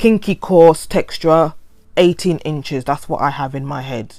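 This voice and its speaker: In a London accent, a woman speaks with a very deep, low pitch and ordinary pitch variation. Her pace is moderate, and the recording is very clean with a silent background. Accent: London, multicultural London English. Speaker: hair vlogger. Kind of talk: voiceover tutorial. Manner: stuttering; casual, rambling.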